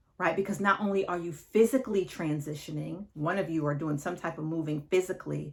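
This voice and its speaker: With hardly any pauses, a woman talks in a normal speaking voice, fairly low in pitch with ordinary pitch variation. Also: fairly quick pace. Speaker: divorce coach. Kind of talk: advice monologue to camera.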